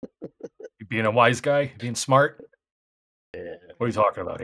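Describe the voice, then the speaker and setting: A man's gruff, put-on character voice at medium pitch, with big swings in loudness and a moderate pace, recorded dry and close with no echo. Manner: gruff, defensive, irritable.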